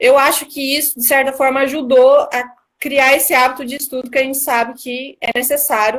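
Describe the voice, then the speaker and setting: Her pitch is high for a woman. She speaks at a moderate pace. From Brazil, Mato Grosso do Sul (Três Lagoas). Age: 20s. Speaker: newly appointed court analyst. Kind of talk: live-stream interview.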